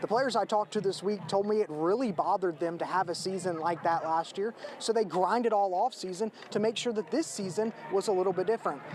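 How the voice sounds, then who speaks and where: Through noticeable background noise, a man with an American accent and a high pitch speaks at a very fast pace with ordinary pitch variation. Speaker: sports reporter / anchor. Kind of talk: news package voiceover and on-camera reporting.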